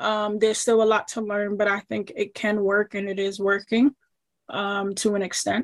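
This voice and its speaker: A woman with an American accent and an ordinary speaking voice talks at medium pitch and moderate pace with fairly even intonation, in a dry, close sound with no echo. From New York, Queens. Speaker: soccer agent. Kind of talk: casual interview.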